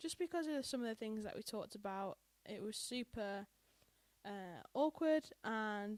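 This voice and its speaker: A woman in a British accent, fairly high pitch, lively intonation and moderate pace, with a dry, close sound and no echo. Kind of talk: casual podcast conversation.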